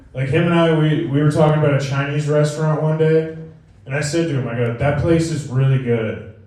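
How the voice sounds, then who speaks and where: A man, with audible room echo and noticeable background noise. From New England, Connecticut. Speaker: stand-up comedian. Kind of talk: stand-up. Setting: stage with audience at a brewery.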